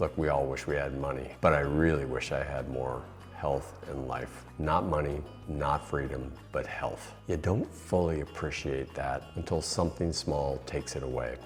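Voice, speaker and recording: A calm tone, fairly even intonation and a moderate pace, with music in the background. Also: man. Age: 60s. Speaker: retirement lifestyle YouTuber. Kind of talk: reflective monologue.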